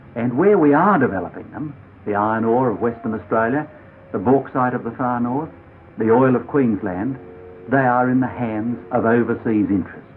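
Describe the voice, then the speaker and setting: Music plays behind a man speaking at a moderate pace. His pitch is medium, with ordinary variation. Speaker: politician. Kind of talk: political speech to camera.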